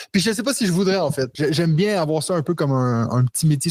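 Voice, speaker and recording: Somewhat breathy and very fast, a man speaks with ordinary pitch variation in a dry, close sound with no echo. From Quebec. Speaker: board game designer and English teacher. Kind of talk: podcast interview.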